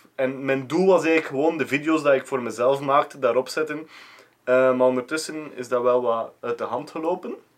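A man with a normal speaking voice talks at a moderate pace and a fairly high pitch, his intonation fairly even. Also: hardly any pauses. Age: 30s. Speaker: video editor. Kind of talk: casual chat. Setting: guest's own office.

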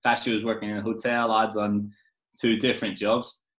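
This voice carries an Irish accent. The pace is moderate. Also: man. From Ireland. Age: 20s. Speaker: football coach. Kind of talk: casual interview chat. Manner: halting, repeats words.

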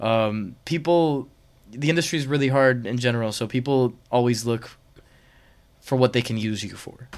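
Here a man uses a normal speaking voice at a medium pitch. His pace is moderate and his pitch varies in an ordinary way. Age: 20s. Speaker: singer-songwriter. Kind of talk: casual chat.

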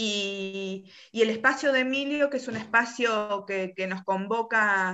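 Speaking at a fairly slow pace, the woman has a medium pitch and ordinary pitch variation. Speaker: politician. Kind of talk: interview. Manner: halting.

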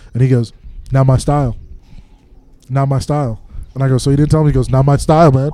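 A man with an American accent, medium pitch, a dark, mellow tone and a very fast pace. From Minnesota. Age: 20s. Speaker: comedian and podcast host. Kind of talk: casual chat. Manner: animated.

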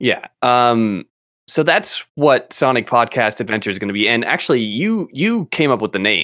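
A man's unremarkable speaking voice at medium pitch, with lively intonation, a moderate pace, and a very clean recording against a silent background. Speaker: podcast host. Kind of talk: casual chat. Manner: rambling, filler-heavy, laughs often.

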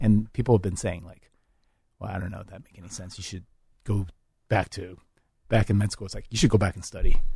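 Against a quiet background, a man speaks very fast with a dark, mellow, somewhat breathy tone and fairly even intonation. His loudness swings widely, and he takes long, frequent pauses. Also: fairly low pitch for a man. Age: 40s. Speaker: education director and mentor at a medical school. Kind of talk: casual interview.

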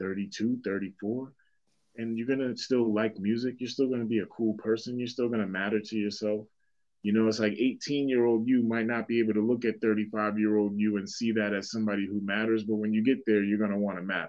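The man's pitch is fairly low and his intonation monotone and flat. He speaks at a fairly quick pace. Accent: Boston. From Boston, Massachusetts (Dorchester). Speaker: rapper and hip hop teacher. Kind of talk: casual interview conversation.

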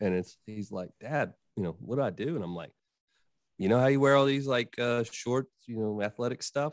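This man has a plain, everyday voice, a medium pitch and ordinary pitch variation. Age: 40s. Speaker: podcaster on men's growth. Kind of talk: casual chat.

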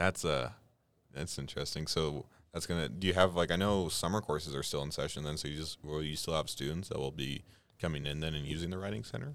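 Very clean, with a silent background, the recording captures a man with a very deep, low pitch and vocal fry. He speaks at a very fast pace with ordinary pitch variation. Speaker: college radio show host. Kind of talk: casual chat. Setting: radio studio.

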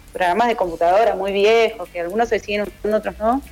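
A woman speaks at a fairly high pitch with a Buenos Aires accent and ordinary pitch variation, over noticeable background noise. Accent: Rioplatense Spanish (Buenos Aires). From Argentina, western Greater Buenos Aires (Ituzaingó). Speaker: singer-songwriter and guitarist. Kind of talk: radio interview. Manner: hesitant, repeats words.

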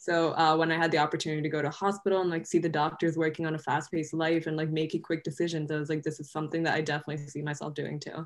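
Very deep and low in pitch, a woman speaks very fast in a monotone, flat intonation. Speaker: pre-med student, nonprofit co-founder. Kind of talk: interview.

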